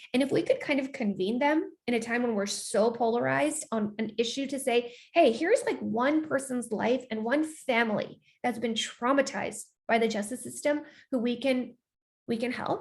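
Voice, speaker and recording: This woman has an American accent and a high pitch. She talks at a moderate pace with ordinary pitch variation. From United States. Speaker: filmmaker and journalist. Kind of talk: interview talkback. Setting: online video call.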